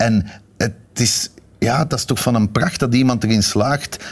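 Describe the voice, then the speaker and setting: Against noticeable background noise, a man with a Flemish accent talks at a medium pitch with ordinary pitch variation. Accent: Flemish Dutch. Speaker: TV director. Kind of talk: casual chat. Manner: halting.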